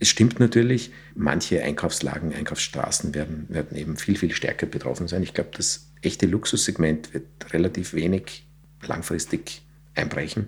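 At a moderate pace, a man speaks with a very deep, low, somewhat breathy voice and ordinary pitch variation. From Austria, south of Vienna. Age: 40s. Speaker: real estate executive. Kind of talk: podcast interview. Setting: studio.

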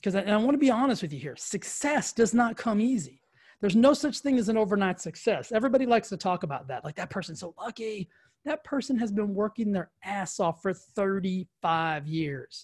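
Energetic and fairly quick, a man with a high pitch and lively intonation is recorded with a dry, close sound, no echo and a quiet background. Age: 40s. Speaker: fitness and wellness podcast host. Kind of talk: motivational monologue. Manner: energetic, emphatic.

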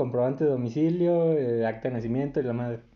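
A man speaks in an ordinary speaking voice at a fairly quick pace with ordinary pitch variation. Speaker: podcast co-host. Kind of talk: casual chat.

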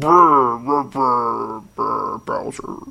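Raspy and growling, a man performs a put-on character voice. His pitch sits in the medium range. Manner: growly laugh.

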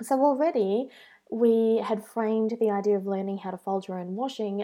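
A woman's medium-pitched voice, dark and mellow in tone, with ordinary pitch variation. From Australia. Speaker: blogger. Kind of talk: tutorial.

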